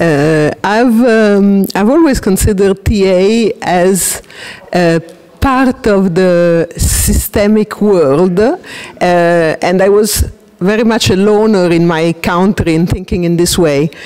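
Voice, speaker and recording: With an Italian accent, a woman of medium pitch speaks very slowly, her loudness very even and her pitch variation ordinary. Noticeable background noise is present. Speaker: transactional analysis practitioner. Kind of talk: interview. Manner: hesitant.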